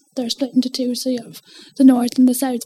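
A woman with an Irish accent speaks at a high pitch and a moderate pace, her intonation monotone and flat. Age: 20s. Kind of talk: interview.

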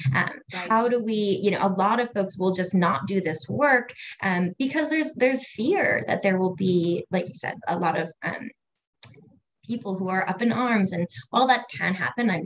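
Speaking in an American accent, a woman uses lively intonation and a moderate pace, and her voice is somewhat breathy. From US Northeast, Cape Cod area. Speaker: educator and LGBTQ equality consultant. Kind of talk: casual interview chat.

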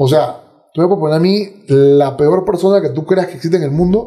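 A man's normal speaking voice, fairly quick, with lively intonation. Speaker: podcaster and martial arts fighter. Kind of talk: casual interview conversation.

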